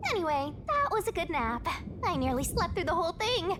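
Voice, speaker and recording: Loud background noise sits behind a put-on character voice of extremely high pitch, delivered at a fairly quick pace. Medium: video game. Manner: teasing, playful.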